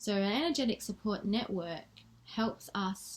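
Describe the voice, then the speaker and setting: A soft-spoken, somewhat breathy woman's voice with an Australian accent, medium in pitch with ordinary pitch variation. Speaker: spiritual coach. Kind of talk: vlog talk to camera. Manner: reading from notes.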